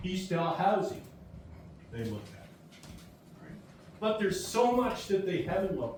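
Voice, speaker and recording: Through noticeable background noise and audible room echo, a man with a high pitch speaks at a moderate pace, with big swings in loudness and long, frequent pauses. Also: lively intonation. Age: 70s. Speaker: community member speaking at public meeting. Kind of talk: public meeting speech. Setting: community hall meeting with audience.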